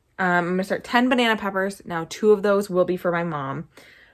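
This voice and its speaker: Talking at a very fast pace, a woman with a fairly low pitch and ordinary pitch variation is heard in a very clean recording with a silent background. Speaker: homesteader. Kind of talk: casual chat. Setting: basement.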